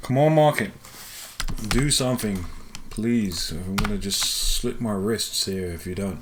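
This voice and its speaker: Lively intonation comes through at a fairly slow pace, with long, frequent pauses, noticeable background noise and audible room echo. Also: man, medium pitch for a man. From London, England. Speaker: day trader and live trading stream host. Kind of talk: live trading commentary. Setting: live stream.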